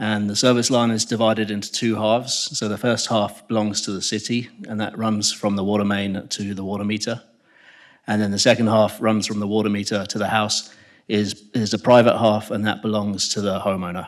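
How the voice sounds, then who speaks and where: On a very clean recording with a silent background, a man with an English accent speaks fairly quickly at a fairly low pitch in a monotone, flat intonation. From England. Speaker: civil engineer presenting a project. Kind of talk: public meeting presentation. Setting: public meeting room with audience.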